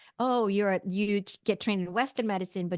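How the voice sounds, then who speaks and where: Speaking in a Swedish accent at a fairly quick pace, a woman keeps a medium pitch and fairly even intonation, with a dry, close sound with no echo against a quiet background. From Sweden. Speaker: naturopathic doctor and psychic medium. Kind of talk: interview testimony.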